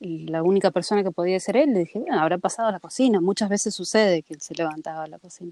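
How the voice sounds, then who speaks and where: A woman with a dark, mellow tone and medium pitch speaks at a very fast pace with hardly any pauses, ordinary pitch variation and big swings in loudness, in a dry, close sound with no echo. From Argentina. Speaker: podcast co-host. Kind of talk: casual chat.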